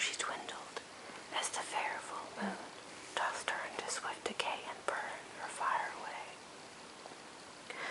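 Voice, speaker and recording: The voice is a whisper, drawn out extremely slowly. Background noise is clearly audible throughout. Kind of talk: poetry reading; ASMR relaxation reading. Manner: whispered.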